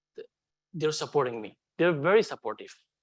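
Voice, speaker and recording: The speaker is a man. His accent is non-native. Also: dry, close sound with no echo. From Afghanistan. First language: not English. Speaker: refugee hotel security manager. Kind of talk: onstage interview testimony. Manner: halting.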